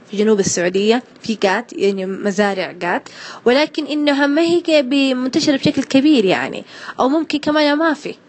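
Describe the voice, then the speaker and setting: A woman speaks with a Hejazi accent. Her voice is high and her pitch swings very widely. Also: moderate pace. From Hejaz, Saudi Arabia. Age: 20s. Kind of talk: casual interview answer. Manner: hesitant, conversational.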